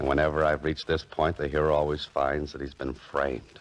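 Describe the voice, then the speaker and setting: Through noticeable background noise, a man with a very deep, low pitch speaks at a moderate pace. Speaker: radio drama actor playing a writer-adventurer. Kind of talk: old-time radio drama with first-person narration.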